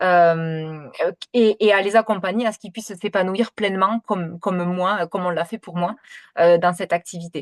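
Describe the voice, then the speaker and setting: Against a quiet background, a woman at medium pitch speaks at a moderate pace with fairly even intonation and big swings in loudness, the sound dry and close with no echo. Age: 30s. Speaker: kinesiologist and essential oils seller. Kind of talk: sales pitch presentation. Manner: hesitant, many fillers; talkative.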